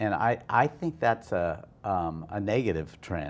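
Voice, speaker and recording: Lively intonation marks this very slow delivery with an American accent. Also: man. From US Midwest, Iowa. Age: 60s. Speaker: hotel and restaurant owner. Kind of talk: interview. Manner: halting, many restarts.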